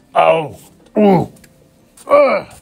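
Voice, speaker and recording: Someone growls through a put-on character voice. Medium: read story. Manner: growling.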